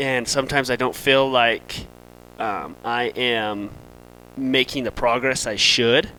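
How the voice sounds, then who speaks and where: The voice is loud with a bright, sharp tone and moves at a fairly slow pace. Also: man, medium pitch for a man. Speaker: firefighter. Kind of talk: casual chat.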